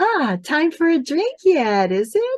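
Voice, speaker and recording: A woman puts on a squeaky character voice at an extremely high pitch, swinging very widely up and down. She speaks at a fairly slow pace. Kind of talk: comic stage reading. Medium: stage play. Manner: bantering, amused.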